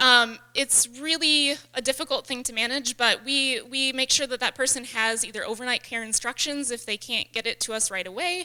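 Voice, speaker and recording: A woman's high-pitched, raised and projected voice, bright and sharp in tone, with ordinary pitch variation and hardly any pauses. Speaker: wildlife rehabilitator. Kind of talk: lecture. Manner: fast.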